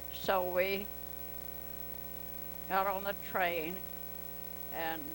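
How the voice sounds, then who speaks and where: This is a woman with a Southern US accent. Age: 80s+. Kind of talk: interview answer. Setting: home video.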